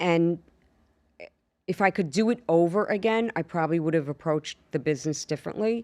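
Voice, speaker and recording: In a very clean recording with a silent background and a dry, close sound with no echo, a woman speaks with a fairly low pitch and ordinary pitch variation. Her pace is fairly quick, her loudness very even, and her pauses long and frequent. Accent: strong Long Island. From New York, Long Island. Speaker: actress and stand-up comedian. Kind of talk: casual interview chat. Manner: animated storytelling.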